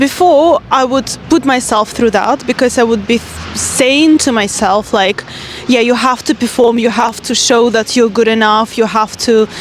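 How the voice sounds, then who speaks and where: A woman speaks at a fairly high pitch and moderate pace, with normal pitch movement and very even loudness. Music plays in the background. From Russia. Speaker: life coach. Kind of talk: vlog-style monologue. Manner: casual, conversational.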